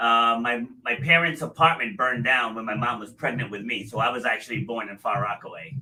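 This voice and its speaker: A man with a medium-pitched voice talks at a fairly quick pace with hardly any pauses and ordinary pitch variation. His loudness swings widely, and there is noticeable background noise. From New England. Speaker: podcast host. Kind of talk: interview podcast.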